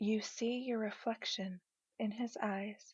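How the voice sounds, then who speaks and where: The voice is somewhat breathy and comes at a very slow pace. The sound is dry and close, with no echo. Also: woman. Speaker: guided imagery narrator. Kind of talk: guided imagery sleep story.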